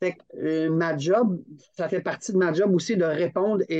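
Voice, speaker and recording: A man speaking at a fairly slow pace. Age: 50s. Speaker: climbing federation training director. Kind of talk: casual interview. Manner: animated, laughing often.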